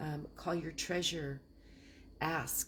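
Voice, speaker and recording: This woman's voice is very deep and low, with vocal fry, a monotone, flat delivery and a very slow pace. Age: 60s. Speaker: land investor. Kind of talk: casual talk on investing. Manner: rambling, halting.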